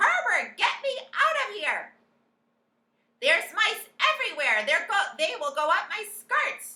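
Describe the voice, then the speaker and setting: Shouting in a put-on character voice, a woman raises and projects an extremely high, shrill, squeaky voice with very wide pitch swings, speaking fairly slowly with long, frequent pauses. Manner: screaming, panicked.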